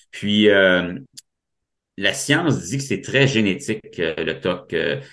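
With lively intonation, a man speaks in a Quebec accent. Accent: Québécois French. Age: 40s. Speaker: mental health advocate with OCD. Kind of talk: personal testimony interview. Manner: halting, repeats words.

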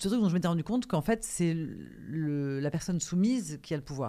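Over a very clean recording with a silent background, a woman speaks with a very deep, low pitch, a dark, mellow tone and lively intonation. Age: 40s. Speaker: actress and author. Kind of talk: casual chat.

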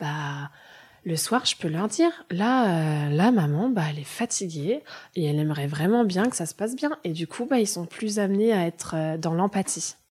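A woman's somewhat breathy, fairly low voice with lively intonation at a moderate pace, on a very clean recording with a silent background. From Germany, moved to France at 9. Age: 30s. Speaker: early childhood educator and childminder. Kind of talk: casual interview conversation.

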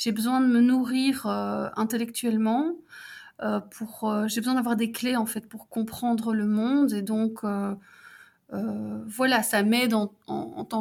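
Somewhat breathy, a woman talks at a fairly slow pace. Her intonation stays monotone and flat. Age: 40s. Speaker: civil servant and mature student. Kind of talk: casual interview. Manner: halting, many fillers.

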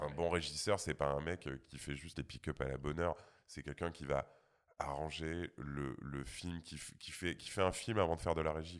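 A man with vocal fry speaks at a very deep, low pitch and a moderate pace. His loudness swings widely while his intonation stays fairly even. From rural France. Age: 40s. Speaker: sound engineer. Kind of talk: casual chat.

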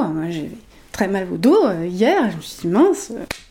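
Noticeable background noise is present throughout. Over it, a woman talks at a very slow pace. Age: 40s. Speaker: emotional intelligence coach. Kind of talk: interview.

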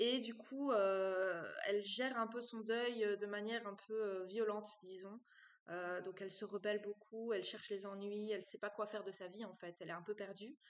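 A woman at medium pitch, with a moderate pace and fairly even intonation. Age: 20s. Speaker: romance novelist. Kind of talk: interview. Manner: hesitant, many fillers.

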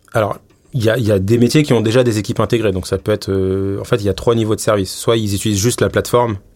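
Talking at a very fast pace, a man with a fairly low voice shows ordinary pitch variation. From Paris, France. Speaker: head of data and AI at a bank. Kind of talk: interview. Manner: hesitant, many fillers.

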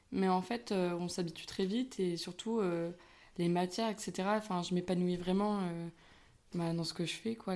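Dark and mellow in tone, a woman's medium-pitched voice moves at a fairly slow pace with fairly even intonation. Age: 20s. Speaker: university student. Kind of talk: interview. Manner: hesitant, many fillers.

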